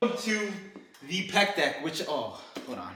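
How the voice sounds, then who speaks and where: A male voice with audible room echo. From Colombia. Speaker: fitness content creator. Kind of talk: workout vlog with personal talk. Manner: hesitant, many fillers and repetitions.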